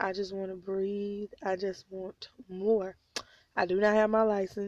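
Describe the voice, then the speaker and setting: A woman with an American accent speaks at medium pitch and a fairly slow pace. Her intonation is monotone and flat. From Oklahoma (Tulsa). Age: 20s. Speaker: vlogger, stay-at-home mom. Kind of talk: personal vlog confession. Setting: in a car at night.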